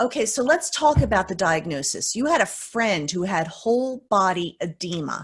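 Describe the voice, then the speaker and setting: Somewhat breathy, this woman's voice makes very wide pitch swings with hardly any pauses against a quiet background. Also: medium pitch for a woman, moderate pace. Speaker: interview host. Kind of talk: interview questions.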